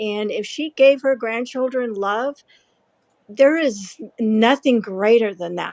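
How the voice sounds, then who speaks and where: A woman speaks in a plain, everyday voice at a fairly slow pace, fairly high in pitch with fairly even intonation. The sound is dry and close, without echo. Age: 60s. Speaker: aspiring author. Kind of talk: personal testimony. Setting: live audio chat room.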